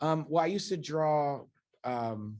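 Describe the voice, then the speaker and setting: A man with an American accent speaks at a very slow pace, his fairly high voice showing ordinary pitch variation. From Los Angeles, California. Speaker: high school art teacher. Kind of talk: casual interview. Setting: classroom with students.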